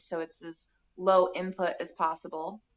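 A woman's plain, everyday voice with an American accent, medium in pitch, fairly even in intonation and fairly slow, against a quiet background. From US Midwest, Bloomington, Indiana. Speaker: permaculture garden designer. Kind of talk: casual chat.

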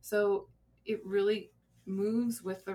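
Very slow speech from a woman with an American accent at medium pitch. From Colorado. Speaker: grief center director, former hospice social worker. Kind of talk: interview conversation. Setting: studio.

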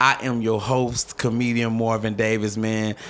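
Noticeable background noise sits behind a man speaking at a medium pitch and moderate pace in a monotone, flat way. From US Midwest, North St. Louis, Missouri. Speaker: stand-up comedian. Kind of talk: casual interview chat.

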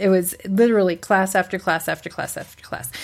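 In a normal speaking voice, a woman talks at a moderate pace with medium pitch and fairly even intonation on a very clean recording with a silent background. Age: 40s. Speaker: blogger. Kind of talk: casual chat.

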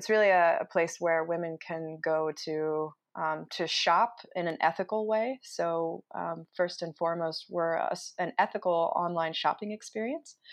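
A woman with a normal speaking voice, fairly low in pitch, talks at a moderate pace with hardly any pauses and fairly even intonation over a quiet background. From Utah. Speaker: entrepreneur. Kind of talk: interview. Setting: home office.

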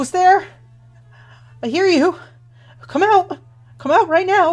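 Her put-on character voice is shaky and extremely high-pitched, and the woman speaks at a fairly slow pace with ordinary pitch variation. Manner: frightened, demanding.

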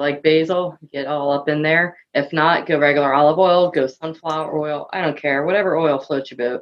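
Speaking with a Philadelphia accent, a woman with a very deep, low voice talks at a fairly quick pace with fairly even intonation and hardly any pauses. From US Northeast, Philadelphia. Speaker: guest, AV industry. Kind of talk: casual chat. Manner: fast.

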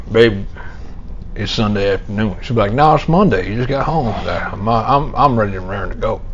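Over noticeable background noise, a man talks fairly quickly, his pitch varying in an ordinary way. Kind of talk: casual banter. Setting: live at a tournament event. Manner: joking, animated.

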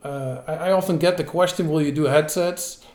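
A man with a Dutch accent, a dark, mellow tone and ordinary pitch variation, amid audible room echo. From Netherlands. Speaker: entrepreneur, bicycle parts company founder. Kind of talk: interview.

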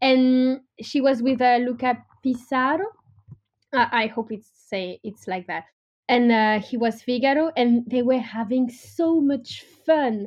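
A woman with a French accent speaks at a high pitch and a fairly slow pace. The background is quiet. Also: ordinary pitch variation. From France. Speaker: opera singer. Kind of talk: interview. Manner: halting.

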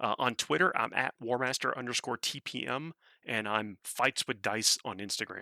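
In a very clean recording with a silent background and a dry, close sound with no echo, a man with a medium pitch and a bright, sharp tone talks at a moderate pace with vocal fry. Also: ordinary pitch variation. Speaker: game commentator and podcaster. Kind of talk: casual chat.

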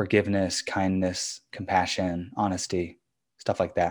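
The recording is very clean, with a silent background. A man with a General American accent speaks at a fairly low pitch in a monotone, flat intonation. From US, suburbs of Washington, D.C. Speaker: education company co-founder. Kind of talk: interview.

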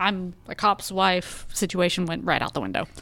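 Here a woman speaks with a Texan accent. Her pitch sits in the medium range. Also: very clean recording, silent background. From Texas, Arlington. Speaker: government relations director and police spouse. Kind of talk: interview conversation.

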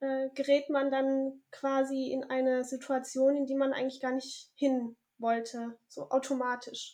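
A high-pitched woman's voice, dark and mellow in tone, flat and monotone at a very slow pace. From southern Germany. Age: 30s. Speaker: author and mother activist. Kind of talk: interview. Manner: hesitant with many fillers.

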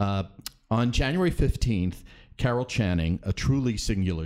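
A man's normal speaking voice, moderate in pace, with lively intonation. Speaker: theater critic. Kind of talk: casual chat. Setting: studio.

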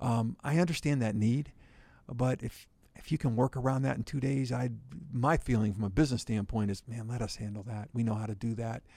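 A dark, mellow voice with some breathiness and an American accent. The pace is fairly quick. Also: man, medium pitch for a man, ordinary pitch variation. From western Pennsylvania, near Pittsburgh. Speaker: company CEO. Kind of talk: interview. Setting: studio.

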